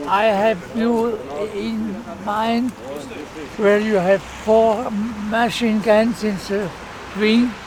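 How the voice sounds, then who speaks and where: A high-pitched man with a German accent, very slow and flat in a monotone, with long, frequent pauses, audible room echo and noticeable background noise. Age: 90s. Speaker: war veteran. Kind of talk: casual chat. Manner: halting.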